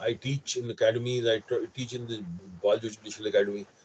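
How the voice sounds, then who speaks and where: Lively intonation from a somewhat breathy man speaking at a moderate pace. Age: 60s. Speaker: lawyer and lecturer. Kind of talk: lecture; Q&A answer.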